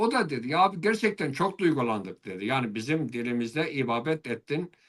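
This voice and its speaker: With an Eastern Anatolian accent, a man talks in very wide pitch swings. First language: Zazaki (speaking Turkish). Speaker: Alevi religious leader (dede). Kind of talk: interview. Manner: hesitant, many filler sounds.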